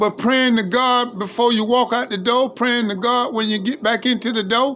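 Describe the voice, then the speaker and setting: At a moderate pace and an extremely high pitch, a man talks with fairly even intonation while music plays in the background. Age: 60s. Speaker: livestreamer. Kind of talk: informal preaching monologue. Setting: live stream. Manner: impassioned.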